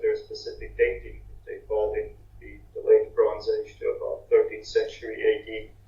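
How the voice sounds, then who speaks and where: A man with an extremely high pitch talks at a moderate pace with fairly even intonation, and audible room echo surrounds his voice. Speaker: archaeology researcher. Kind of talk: conference talk.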